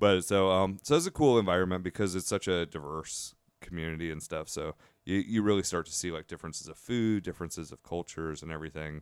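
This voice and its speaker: On a very clean recording with a silent background, a man in an American accent speaks at a very fast pace with ordinary pitch variation. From Washington DC area, military family. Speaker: chef and restaurant owner. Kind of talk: casual chat.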